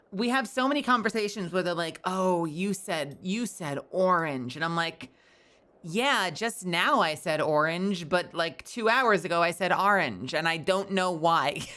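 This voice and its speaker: A woman with an American accent speaks fairly slowly at a medium pitch, her tone bright and sharp and her intonation lively. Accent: sometimes New York. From New York.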